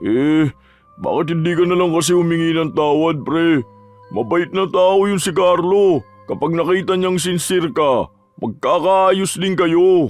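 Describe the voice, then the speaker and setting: A man uses a put-on character voice, pitched high, at a fairly slow pace. Faint music plays in the background. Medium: read story.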